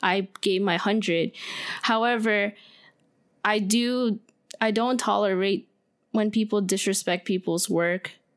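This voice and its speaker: At a fairly slow pace with long, frequent pauses, a woman speaks at medium pitch with fairly even intonation and very even loudness. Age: 20s. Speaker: photographer and filmmaker. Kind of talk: casual chat.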